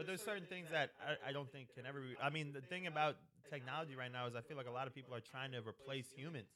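A man with an American accent, fairly high in pitch, bright and sharp in tone, very fast in pace, with ordinary pitch variation. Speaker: podcast co-host. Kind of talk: casual chat.

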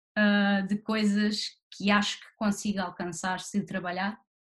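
A woman speaks with a European Portuguese accent at medium pitch. Her voice is somewhat breathy, and her pace is fairly slow. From Portugal, Barreiro (Lisbon south bank). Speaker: actress. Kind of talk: interview.

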